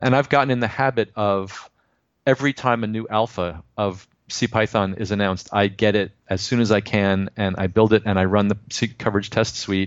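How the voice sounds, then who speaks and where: Speaking at a moderate pace with fairly even intonation, a man has an unremarkable speaking voice pitched fairly low. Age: 50s. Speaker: software developer. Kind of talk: casual interview.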